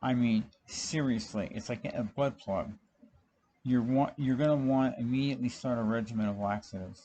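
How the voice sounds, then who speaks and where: This man has a dark, mellow tone at medium pitch. He speaks at a moderate pace with ordinary pitch variation. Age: 60s. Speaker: cancer patient vlogger. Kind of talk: personal monologue. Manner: casual, halting with fillers.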